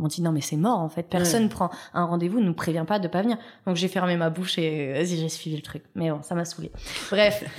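Against noticeable background noise, a woman talks at a fairly quick pace and fairly low pitch with fairly even intonation. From Paris suburbs, France. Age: 30s. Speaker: TV pastry contestant and food business coach. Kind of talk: interview. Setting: studio.

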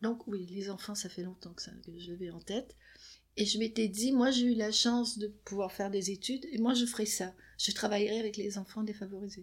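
Somewhat breathy and fairly high in pitch, her voice keeps a moderate pace and ordinary pitch variation. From Quebec. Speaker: psychoanalyst. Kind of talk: interview. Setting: her office.

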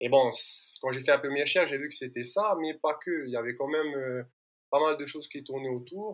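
Here a man speaks in an ordinary speaking voice at a fairly quick pace. His fairly high pitch shows ordinary variation. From French Polynesia. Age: 30s. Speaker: environmental start-up founder. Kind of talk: interview.

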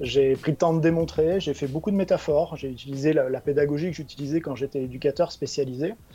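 Talking at a very fast pace with hardly any pauses, a man uses a fairly high pitch and fairly even intonation, his tone dark, mellow and somewhat breathy. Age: 40s. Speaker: chief financial officer. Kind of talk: interview. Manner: halting, frequent repetitions.

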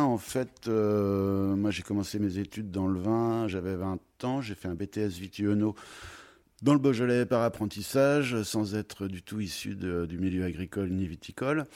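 A man talks at a fairly slow pace. His pitch is fairly low, with ordinary pitch variation. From France, Troyes (Champagne). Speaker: wine merchant. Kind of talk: interview. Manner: halting, many repetitions.

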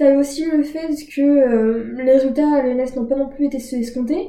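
A woman with a high pitch and a dark, mellow tone speaks at a moderate pace with fairly even intonation. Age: 20s. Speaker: student. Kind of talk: casual interview. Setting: in an apartment.

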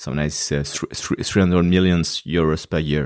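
A man with a French accent and ordinary pitch variation, in a dry, close sound with no echo, on a very clean recording with a silent background. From France. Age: 40s. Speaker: nonprofit fundraising executive. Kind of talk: podcast interview. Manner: halting, with frequent fillers and repetitions.

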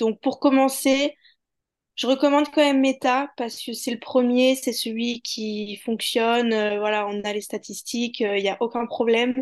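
A woman with a high pitch speaks at a fairly slow pace with fairly even intonation over a quiet background. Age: 20s. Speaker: digital marketing manager and ad buyer. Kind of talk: podcast interview. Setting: video-recorded interview.

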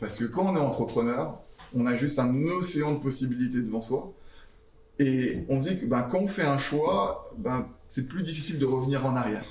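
A man talks at a moderate pace and medium pitch, with ordinary pitch variation. The room echo is audible, and there is noticeable background noise. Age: 40s. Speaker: startup founder. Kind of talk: interview with school students.

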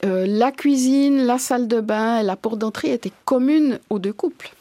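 A woman's high-pitched voice with a dark, mellow tone and lively intonation, at a moderate pace, in a dry, close sound with no echo. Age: 50s. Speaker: farmers' association president. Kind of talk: interview.

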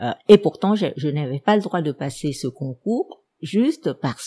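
With a Vietnamese accent, a woman speaks in a very deep, low voice with a dark, mellow tone, lively intonation and a fairly slow pace, the sound dry and close with no echo. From Vietnam, Saigon. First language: Vietnamese (speaking French). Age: 70s. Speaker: historian. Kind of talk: personal life story. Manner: hesitant with many fillers.

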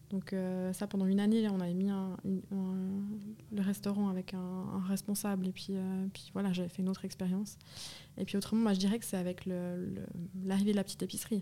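A woman speaks fairly quickly in a somewhat breathy, dark, mellow tone, her medium pitch held in monotone, flat intonation. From Switzerland, canton of Vaud. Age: 30s. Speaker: grocery network co-founder. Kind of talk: interview conversation. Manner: hesitant, many fillers.

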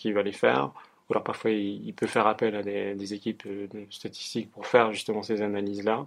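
A man speaking at a moderate pace. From Geneva area, France-Switzerland border (Annemasse). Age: 20s. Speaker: psychology student and research assistant. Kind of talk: interview. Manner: halting, many fillers.

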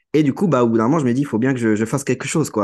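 Over a quiet background, a man talks at a medium pitch with ordinary pitch variation. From Brittany, France (Guingamp). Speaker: AI consultant. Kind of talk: podcast interview. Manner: hesitant, many fillers and repetitions.

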